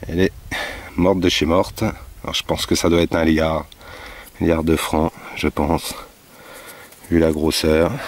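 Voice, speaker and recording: With a very deep, low pitch, a man talks at a fairly slow pace with long, frequent pauses, fairly even intonation and very even loudness, in a dry sound with no echo. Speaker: metal detecting vlogger. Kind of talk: casual vlog narration. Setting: outdoors in a field. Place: farm. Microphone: phone near.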